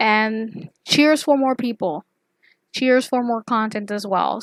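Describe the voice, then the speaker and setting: In a very clean recording with a silent background and a dry, close sound with no echo, a woman with a non-native accent speaks at a moderate pace, her fairly high pitch showing ordinary variation. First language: not English. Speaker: YouTuber, artist and pop culture commentator. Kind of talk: casual commentary video. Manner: casual, filler-heavy, rambling.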